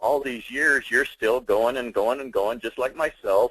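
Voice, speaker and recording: The sound is dry and close, with no echo, as a man talks. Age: 60s. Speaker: webinar host. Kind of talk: webinar interview. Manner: upbeat.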